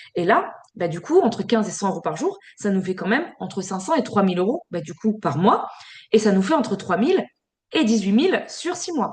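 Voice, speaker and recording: Her fairly high, somewhat breathy voice moves through very wide pitch swings as the woman speaks. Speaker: sales team trainer. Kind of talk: online training session. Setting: video call. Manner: fast; filler-heavy.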